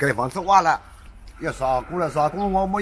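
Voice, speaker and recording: A man talks over light background noise. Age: 60s. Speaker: retired villager; interviewee. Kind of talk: street interview. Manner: halting. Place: street. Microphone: camera far.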